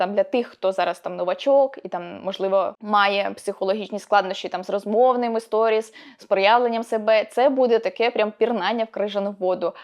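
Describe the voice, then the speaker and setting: The woman has an unremarkable speaking voice at a fairly high pitch. She keeps a moderate pace with hardly any pauses and fairly even intonation. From northern Ukraine, rural Chernihiv region. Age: 20s. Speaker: blogging coach. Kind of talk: video tutorial.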